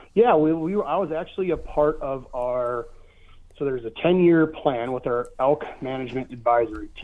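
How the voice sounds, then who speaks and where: The voice has an American accent and lively intonation. It moves at a moderate pace. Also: man, fairly high pitch for a man. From Michigan. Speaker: conservation fundraiser. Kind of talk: casual interview. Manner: halting with many fillers.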